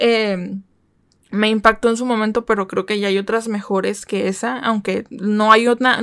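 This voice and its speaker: Animated in tone, a woman speaks at a moderate pace and a fairly high pitch. The recording is very clean with a silent background and a dry, close sound with no echo. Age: 20s. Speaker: podcast host. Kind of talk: casual solo podcast monologue. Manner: animated, chatty; halting with frequent repetitions and fillers.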